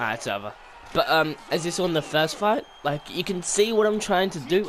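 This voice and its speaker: Background noise is noticeable throughout. Over it, a man talks with lively intonation. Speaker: gaming YouTuber. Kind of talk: gameplay tutorial commentary. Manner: fast; hesitant, many fillers.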